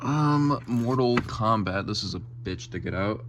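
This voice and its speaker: A man's voice comes through with audible room echo. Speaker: gaming youtuber. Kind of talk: collection tour video. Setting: game room at home. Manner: fast; casual with many fillers.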